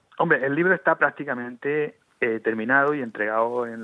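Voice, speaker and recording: Speaking at a moderate pace, the man has a medium pitch. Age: 50s. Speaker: lawyer and former mayor, author. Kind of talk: radio interview. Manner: halting, many repetitions.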